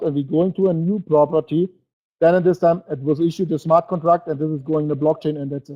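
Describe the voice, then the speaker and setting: Very fast speech comes from a man with a German accent. His pitch is high and his intonation fairly even. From Germany. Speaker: network marketing presenter. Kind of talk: webinar sales presentation. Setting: online webinar. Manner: halting.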